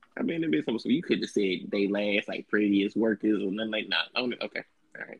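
Speaking at a very fast pace, a man with a fairly low pitch sounds animated, his pitch varying in an ordinary way. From Texas, Dallas. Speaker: podcast host. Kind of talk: casual chat.

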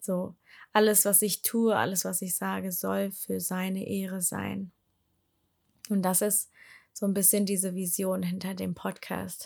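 A woman speaks at a fairly slow pace, with long, frequent pauses. The recording is very clean, with a silent background. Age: 20s. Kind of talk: personal testimony monologue. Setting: home, sitting on living room floor. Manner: hesitant, many filler sounds.

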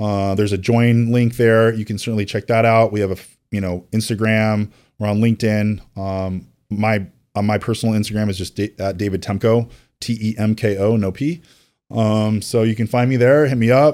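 A man speaks at a moderate pace in a plain, everyday voice, fairly low in pitch with fairly even intonation, on a very clean recording with a silent background. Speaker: mortgage company president. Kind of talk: casual interview chat.

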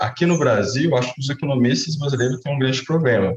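Somewhat breathy, medium-pitched male speech with ordinary pitch variation. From Brazil, Minas Gerais (Uberaba). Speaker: economist, researcher. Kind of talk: interview. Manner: hesitant, many fillers.

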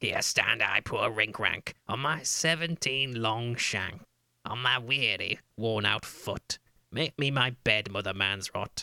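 A man talks at a fairly slow pace. His medium pitch shows ordinary variation. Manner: whining, pleading.

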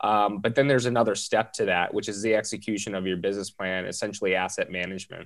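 With an American accent, a man talks very fast at a fairly low pitch, his intonation fairly even, on a very clean recording with a silent background. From Southern California. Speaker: multifamily real estate investor. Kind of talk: casual interview.

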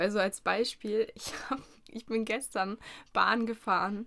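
A woman's flat, monotone intonation. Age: 20s. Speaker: podcast host, university student. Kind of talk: casual chat. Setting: studio.

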